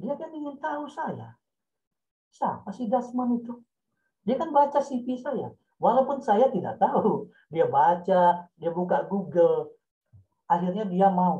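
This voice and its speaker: Very slowly, a man talks at a high pitch with very wide pitch swings. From West Sumatra. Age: 60s. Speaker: senior journalist and author. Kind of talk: guest lecture in online writing class. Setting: video call. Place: home room. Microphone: video call.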